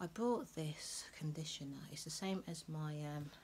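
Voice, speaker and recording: Soft-spoken and somewhat breathy, a woman speaks at a very deep, low pitch with ordinary pitch variation over light background noise. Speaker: lifestyle vlogger. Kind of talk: casual vlog chat. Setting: at home. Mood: relaxed, chatty. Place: home room.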